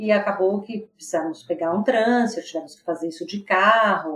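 A woman speaks at a medium pitch and a fairly quick pace over noticeable background noise. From São Paulo, Brazil. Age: 50s. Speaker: business executive. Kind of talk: casual interview chat.

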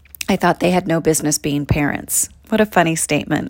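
Here is an ordinary speaking voice at a fairly quick pace. The recording is very clean, with a silent background. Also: woman. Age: 40s. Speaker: podcast host and actor. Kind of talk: reading aloud from own book. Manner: warm, upbeat.

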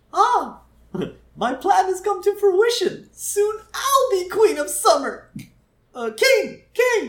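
Delivered at a very slow pace, this put-on character voice sits at an extremely high pitch. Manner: gloating, theatrical.

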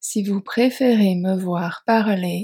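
A somewhat breathy, medium-pitched female voice with a dark, mellow tone, very slow pace and ordinary pitch variation, dry and close with no echo. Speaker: French teacher podcaster. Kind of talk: slow scripted narration for learners. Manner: clear articulation.

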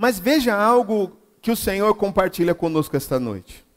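A man's high-pitched voice with lively intonation. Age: 40s. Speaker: pastor. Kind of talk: sermon. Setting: church.

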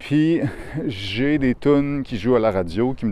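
A man speaks with a Quebec accent. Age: 30s. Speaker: podcaster. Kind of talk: casual monologue. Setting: outdoors walking in a park. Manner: hesitant, many fillers. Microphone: new lavalier mic recorded on phone.

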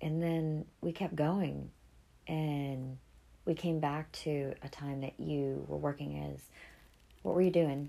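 Speaking at a very slow pace, a woman with an American accent leaves long, frequent pauses. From New England, US (Boston area). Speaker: podcast host. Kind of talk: casual chat.

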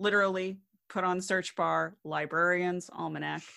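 With an American accent, a woman speaks at medium pitch in a bright, sharp tone against a quiet background. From small-town Illinois, US Midwest. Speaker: researcher and podcaster. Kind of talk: casual chat. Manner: halting, many fillers.

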